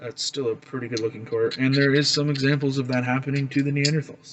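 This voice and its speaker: A man with a Canadian accent, fairly high-pitched, at a moderate pace in a flat monotone. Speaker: flint knapping hobbyist, video creator. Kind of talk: casual tutorial / show-and-tell. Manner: casual, hesitant with many fillers. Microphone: recorded on a phone.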